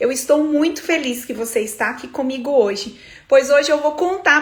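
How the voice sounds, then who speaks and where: Her high-pitched voice shows ordinary pitch variation as the woman speaks. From Brazil, Minas Gerais. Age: 30s. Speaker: eyebrow studio entrepreneur and business coach. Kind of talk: livestream talk to viewers, personal story. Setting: livestream.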